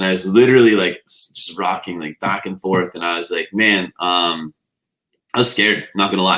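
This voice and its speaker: In a very clean recording with a silent background, a man with a very deep, low pitch speaks loudly at a fairly quick pace in a bright, sharp tone. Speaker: nutrition coach and business owner. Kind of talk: podcast Q&A interview.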